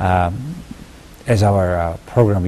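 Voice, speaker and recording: A man with a Mongolian accent, very deep and low in pitch, ordinary pitch variation, over noticeable background noise. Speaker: TV interviewer. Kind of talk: TV interview.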